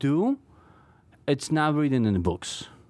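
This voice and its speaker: In a Polish accent, the voice moves at a moderate pace with very wide pitch swings on a very clean recording with a silent background. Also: man. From Poland. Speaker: knife maker. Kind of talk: interview. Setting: studio. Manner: halting.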